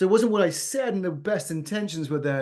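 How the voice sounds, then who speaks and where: Against a quiet background, a man in a British accent speaks at a fairly quick pace with ordinary pitch variation. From England. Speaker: business founder and CEO. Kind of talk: podcast interview. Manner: energetic, exuberant.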